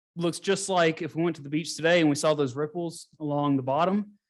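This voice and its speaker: Over a quiet background, a man with an American accent speaks at a moderate pace in a high pitch. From US South, Gulf Coast of Mississippi. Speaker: geologist. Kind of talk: lecture. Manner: casual.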